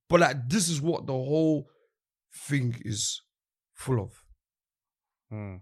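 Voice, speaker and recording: A man with a London accent speaks at a very slow pace in a fairly high pitch, his intonation lively and broken by long, frequent pauses. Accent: London Multicultural English. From East London. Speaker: drill rapper. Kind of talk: casual chat.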